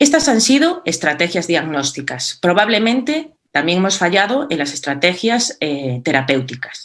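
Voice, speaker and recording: With a Galician accent, the speaker goes at a fairly slow pace, with hardly any pauses and very wide pitch swings. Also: woman, fairly low pitch for a woman. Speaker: cardiology speaker. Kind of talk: conference presentation. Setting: virtual meeting.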